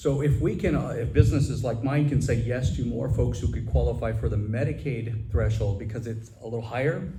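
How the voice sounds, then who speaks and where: A man talks fairly quickly at a medium pitch, with lively intonation and hardly any pauses. His voice has vocal fry, and the room echo is audible. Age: 50s. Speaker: assisted living director and Navy reserve officer. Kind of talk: audience question at a public forum. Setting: business roundtable with audience.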